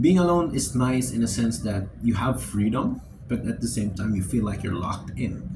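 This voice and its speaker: Noticeable background noise and audible room echo accompany a man at medium pitch. He talks fairly slowly, his pitch swinging very widely. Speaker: vlogger. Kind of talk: casual monologue. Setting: alone in dorm room. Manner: halting.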